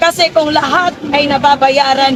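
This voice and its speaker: Over noticeable background noise, a woman with a high pitch speaks at a fairly slow pace. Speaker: anti-corruption activist. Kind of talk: protest speech. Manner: soft-spoken; code-switching Tagalog and English.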